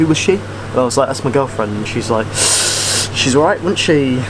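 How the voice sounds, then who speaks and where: A man rushes along at a very fast pace, with noticeable background noise around him. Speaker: girlfriend's partner and co-host. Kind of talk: casual talk to camera. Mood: joking, playful. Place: garden. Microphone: camera far.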